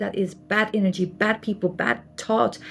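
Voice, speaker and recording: A somewhat breathy woman with a Flemish accent. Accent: Flemish Dutch accent in English. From Belgium (Flanders). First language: Dutch (Flemish). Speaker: artist and spiritual channel host. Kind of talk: casual explanatory talk to camera. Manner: repetitive, emphatic.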